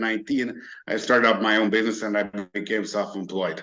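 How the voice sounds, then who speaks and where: A man with a Hungarian accent speaks at a moderate pace in a bright, sharp tone with monotone, flat intonation. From Hungary. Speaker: merchant services broker. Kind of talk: interview. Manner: halting, many fillers.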